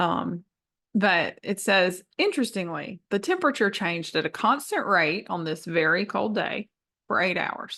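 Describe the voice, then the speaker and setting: A woman with a Southern US accent speaks in a bright, sharp tone at medium pitch. Her pace is moderate, her pitch variation ordinary, and the background quiet. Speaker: math teacher. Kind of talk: tutorial. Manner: casual, many fillers.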